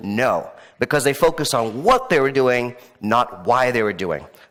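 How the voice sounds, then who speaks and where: The speaker has an American accent, an animated tone and a moderate pace. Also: man. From mixed: Middle East, Africa, France, India. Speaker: entrepreneur and conference speaker. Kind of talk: keynote talk. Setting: stage with audience.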